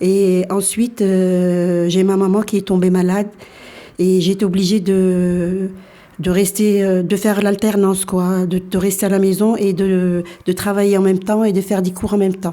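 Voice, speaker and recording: A woman with a medium pitch talks at a fairly slow pace, her loudness very even and her intonation monotone and flat. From France, arrived from Algeria aged four. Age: 60s. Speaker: interviewee. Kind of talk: radio interview. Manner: halting, many hesitations.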